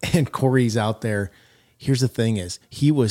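Recorded very cleanly against a silent background, with a dry, close sound and no echo, a man of medium pitch uses lively intonation in an unremarkable speaking voice. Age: 50s. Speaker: podcast co-host, leadership coach. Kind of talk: casual chat.

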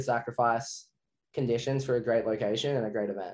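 An Australian-accented man, fairly quick in pace. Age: 20s. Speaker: professional wakeboarder. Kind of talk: interview.

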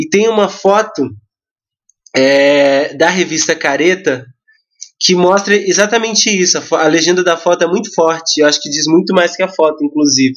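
This man's voice is high, with ordinary pitch movement, and he talks at a medium speed. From Brazil, Mauá (São Paulo). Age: 20s. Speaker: photographer and education activist. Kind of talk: podcast interview. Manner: passionate.

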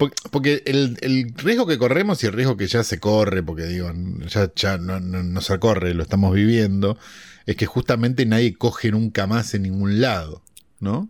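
A man speaks in a normal speaking voice at a moderate pace, pitched fairly low with ordinary pitch variation. The recording is very clean, with a silent background. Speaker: podcast co-host, film commentator. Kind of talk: casual chat.

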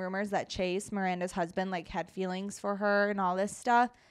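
The pace is moderate, and the recording is very clean with a silent background. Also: woman. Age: 20s. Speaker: podcast co-host. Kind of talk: casual chat. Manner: animated.

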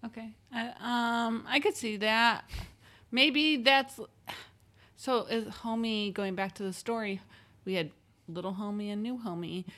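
A woman's bright, sharp tone at a fairly high pitch, with ordinary pitch variation, a fairly slow pace, and long, frequent pauses. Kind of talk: casual chat. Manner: joking, laughs often.

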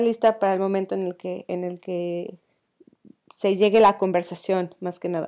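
In a dark, mellow tone, a woman speaks at a fairly slow pace with fairly even intonation. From Mexico, León (Guanajuato). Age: 20s. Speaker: podcast co-host, innovation student. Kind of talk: casual chat.

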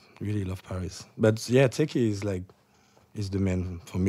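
Speaking with a French accent, a man uses a fairly low pitch and fairly even intonation at a fairly slow pace. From France. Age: 30s. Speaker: DJ. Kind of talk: casual chat.

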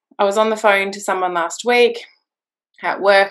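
Against a quiet background, a woman with an Australian accent talks at a moderate pace in a medium pitch, her intonation lively. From rural New South Wales, Australia. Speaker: expat mother. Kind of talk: interview.

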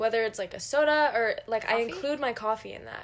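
Here is an unremarkable speaking voice whose pitch varies in an ordinary way. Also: woman. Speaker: podcast co-host. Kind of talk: casual chat.

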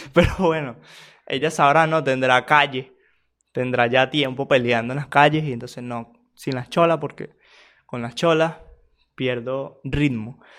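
A man with a Venezuelan accent speaks at a medium pitch and a fairly slow pace, with long, frequent pauses and fairly even intonation. His loudness swings widely in a very clean recording with a silent background. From Venezuela, small town. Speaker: podcaster. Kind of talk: casual monologue.

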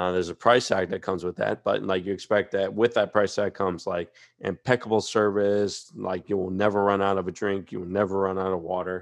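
In an American accent, a man with a very deep, low pitch talks at a fairly quick pace in a monotone, flat intonation. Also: hardly any pauses, quiet background. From Louisiana. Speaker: podcast co-host. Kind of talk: casual chat.

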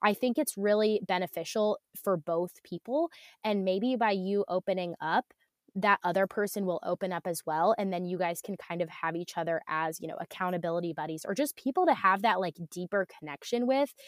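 In a very clean recording with a silent background and a dry, close sound with no echo, a woman with an American accent speaks at a medium pitch and a fairly quick pace with ordinary pitch variation. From Ohio. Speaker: entrepreneur and business coach. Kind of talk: casual chat.

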